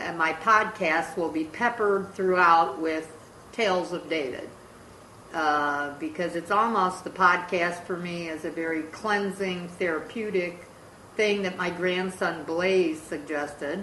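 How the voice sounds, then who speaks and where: A woman's fairly low voice at a fairly slow pace, fairly even in intonation, with audible room echo and noticeable background noise. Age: 60s. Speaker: podcast host, grandmother. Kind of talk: casual family podcast chat.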